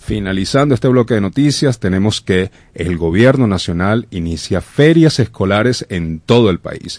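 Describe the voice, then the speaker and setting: A man's fairly low voice, an ordinary speaking voice, with lively intonation at a fairly slow pace, dry and close with no echo against a quiet background. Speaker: radio host. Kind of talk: news reading. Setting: radio studio. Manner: formal.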